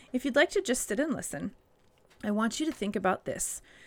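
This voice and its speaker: A woman speaks at a fairly high pitch and sounds somewhat breathy. The recording is very clean, with a silent background. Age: 40s. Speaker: family devotional podcast host. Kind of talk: children's devotional talk.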